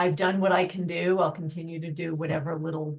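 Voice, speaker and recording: Speaking at a moderate pace, a woman has a very deep, low pitch, a somewhat breathy voice and monotone, flat intonation. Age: 60s. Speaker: film participant and panelist. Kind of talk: panel discussion.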